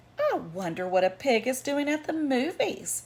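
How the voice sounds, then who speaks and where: This woman puts on a character voice pitched high. She moves at a moderate pace, her pitch swinging very widely. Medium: read story. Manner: wondering, polite.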